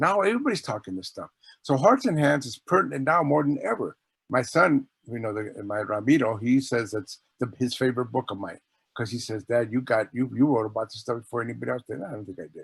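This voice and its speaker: Speaking very fast with lively intonation, a man at medium pitch sounds somewhat breathy, his loudness swinging widely in a dry, close recording with no echo. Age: 60s. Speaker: author. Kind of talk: casual chat.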